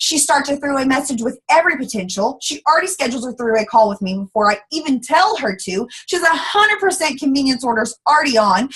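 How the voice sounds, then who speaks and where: Animated and high-pitched, a woman talks at a fairly quick pace with hardly any pauses, her pitch swinging very widely over noticeable background noise. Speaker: network marketing team leader. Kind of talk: motivational talk. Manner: fast.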